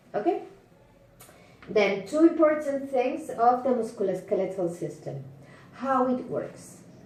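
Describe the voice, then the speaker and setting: A woman with a Spanish accent, high pitch, very wide pitch swings and a fairly slow pace, with audible room echo. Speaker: teacher. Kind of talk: lecture. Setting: home. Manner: halting.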